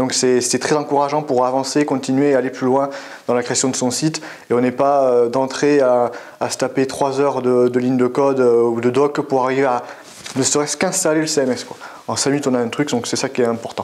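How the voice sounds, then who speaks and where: In a southwestern French accent, a man talks at a fairly quick pace with monotone, flat intonation. Noticeable background noise and audible room echo surround him. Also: medium pitch for a man. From French Basque Country (Biarritz). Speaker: web developer. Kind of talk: interview. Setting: at a tech conference. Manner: hesitant, many fillers.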